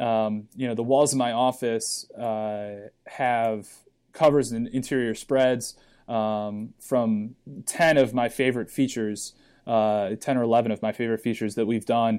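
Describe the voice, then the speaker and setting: In a very clean recording with a silent background, a man with a plain, everyday voice talks at medium pitch with fairly even intonation. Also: fairly slow pace. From Cleveland, Ohio, US. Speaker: lacrosse magazine publisher. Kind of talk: podcast interview.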